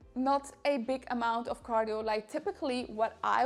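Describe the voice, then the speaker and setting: Speaking at a fairly high pitch, a woman keeps a moderate pace with ordinary pitch variation. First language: Dutch. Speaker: fitness influencer. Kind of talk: sales pitch; casual vlog advice.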